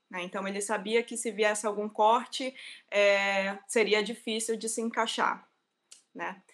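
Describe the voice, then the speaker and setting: Her intonation is monotone and flat. The woman talks at a fairly slow pace in a fairly high voice. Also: big swings in loudness. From Brazil, Amazonas (Manacapuru/Manaus). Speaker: engineer, researcher. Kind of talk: interview, casual. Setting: online livestream.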